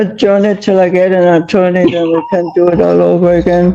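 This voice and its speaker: Over audible room echo, a woman speaks at a moderate pace in a medium pitch with monotone, flat intonation. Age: 80s+. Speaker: tenant in court. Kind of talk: court testimony. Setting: courtroom.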